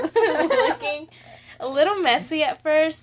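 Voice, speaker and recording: Speaking with an American accent, the woman takes a fairly slow pace. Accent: slight Texas accent at times. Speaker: beauty vlogger. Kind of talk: makeup tutorial. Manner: casual, chatty.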